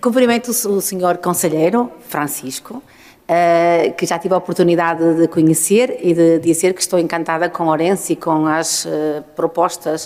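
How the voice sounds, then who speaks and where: A woman with an unremarkable speaking voice, a fairly low pitch, ordinary pitch variation and a moderate pace. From northern Portugal. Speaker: urban mobility engineer and consultant. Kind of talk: conference talk.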